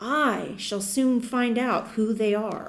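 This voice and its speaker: A woman puts on a shrill character voice with a fairly high pitch. She speaks very slowly, and an echo is audible. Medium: read story. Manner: taunting, feverish.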